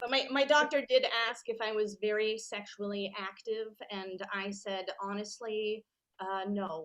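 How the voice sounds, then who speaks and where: A woman speaks with a plain, everyday voice at a fairly high pitch. Her pitch varies in an ordinary way. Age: 40s. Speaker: comedian. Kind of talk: stand-up.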